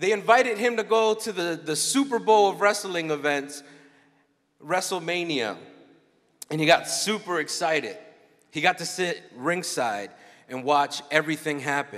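A man speaks at a moderate pace with lively intonation and long, frequent pauses. The background is quiet. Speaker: conference keynote speaker. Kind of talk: sermon. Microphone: handheld.

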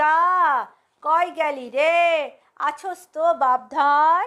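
Her voice is high-pitched and put on as a character. The woman talks at a very slow pace.

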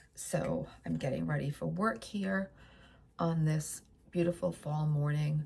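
Over noticeable background noise, a woman speaks with a very deep, low pitch and ordinary pitch variation. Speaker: vlogger. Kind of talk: casual chat. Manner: chatty.

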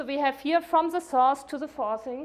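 Speaking at a moderate pace, a woman uses a high pitch with ordinary pitch variation.

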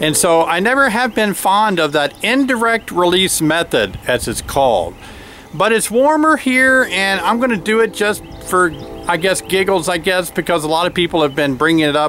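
Set against music in the background, a man with a high pitch and lively intonation speaks at a moderate pace in a dry sound with no echo. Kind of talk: casual vlog chat. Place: open country. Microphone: phone near.

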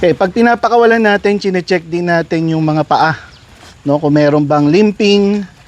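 A man at a high pitch with ordinary pitch variation and a moderate pace. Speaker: dog breeder. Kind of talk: casual vlog narration while handling dogs. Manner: commands to dogs, short bursts.

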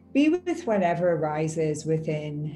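A woman with an Irish accent, fairly low in pitch, at a fairly slow pace, with music in the background. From Ireland. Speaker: meditation guide. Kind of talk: guided meditation. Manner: slow, soft-spoken. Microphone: earbuds.

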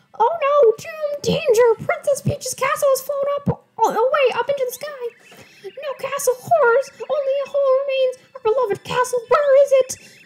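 A woman's put-on character voice, squeaky and extremely high, at a moderate pace with hardly any pauses. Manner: dramatic, alarmed.

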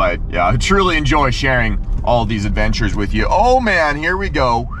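A man at a fairly quick pace, dry sound with no echo, music in the background. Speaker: fishing vlogger. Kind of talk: casual vlog chat. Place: car. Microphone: phone near.

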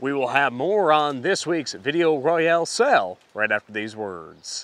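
The sound is dry with no echo as a man with a fairly high pitch speaks in very wide pitch swings. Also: fairly slow pace. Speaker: agricultural news reporter. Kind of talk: farm radio news report. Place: open country. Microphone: lapel.

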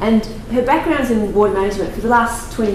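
A woman's fairly quick speech comes through noticeable background noise and audible room echo. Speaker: session chair and research consultant. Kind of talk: conference introduction and Q&A moderation. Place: meeting room.

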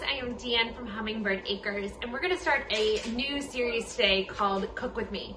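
Noticeable background noise runs under a woman speaking at a moderate pace with a high pitch and ordinary pitch variation. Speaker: home cook vlogger. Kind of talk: casual vlog chat. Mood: cheerful and upbeat. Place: kitchen. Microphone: phone near.

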